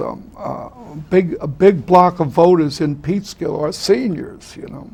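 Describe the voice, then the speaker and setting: At a fairly slow pace, a man with a high pitch and ordinary pitch variation talks over noticeable background noise. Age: 70s. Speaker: talk show host. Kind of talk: interview. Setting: studio.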